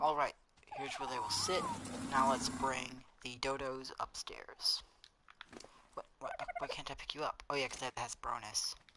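At a moderate pace broken by long, frequent pauses, the speech comes through noticeable background noise. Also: man. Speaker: gaming streamer. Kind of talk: gameplay live stream commentary. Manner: casual, filler-heavy.

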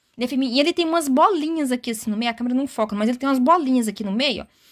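A woman speaks at a very fast pace and a high pitch. The background is quiet. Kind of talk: product demo chat. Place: shop. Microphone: phone near.

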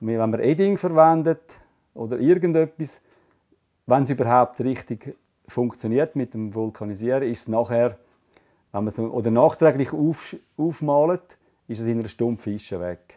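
Over a quiet background, a man with a Swiss German accent talks at a moderate pace in a dark, mellow tone, his intonation lively and his speech broken by long, frequent pauses. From Switzerland. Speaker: fly tying artist. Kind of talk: hands-on craft demonstration. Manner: casual, explanatory. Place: workshop.

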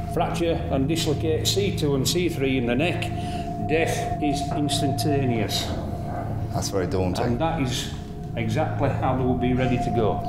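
Someone talks at a moderate pace with music playing in the background. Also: man. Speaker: jail tour guide demonstrating an execution. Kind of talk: explanatory demonstration. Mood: grave, matter-of-fact. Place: hall.

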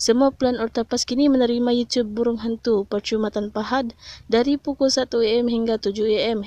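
In a Malaysian accent, a woman with a dark, mellow tone speaks at a fairly high pitch, the sound dry and close with no echo against a quiet background. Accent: Malaysian Malay. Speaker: YouTuber tech tips channel admin. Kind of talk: street seller pitchman, hard-sell promo of cheap data plans. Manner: fast, hyped, pushy salesman patter; emphatic, persuasive, promising 'no scam' deals.

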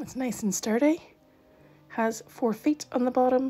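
Faint music plays behind the speaker. She is a woman with a high-pitched voice. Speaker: miniatures hobby vlogger. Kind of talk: unboxing review narration. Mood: pleased, chatty.

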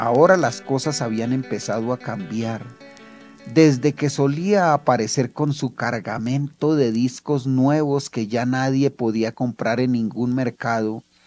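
A man talks at a fairly slow pace while music plays behind him. His pitch is medium and varies in an ordinary way. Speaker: author reading his own story. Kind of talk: audio drama story narration.

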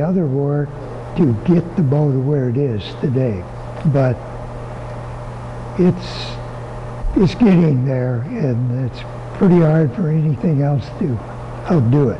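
A man with a fairly high pitch and lively intonation talks at a very slow pace, with long, frequent pauses, over light background noise. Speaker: bow hunter and bow company owner. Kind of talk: interview answer. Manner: soft-spoken, easy-going. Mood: easy-going, soft-spoken.

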